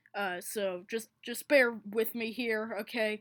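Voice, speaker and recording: A woman's fairly high voice at a fairly slow pace, in a very clean recording with a silent background. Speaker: conlang hobbyist presenting a constructed language. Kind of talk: tutorial. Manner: halting.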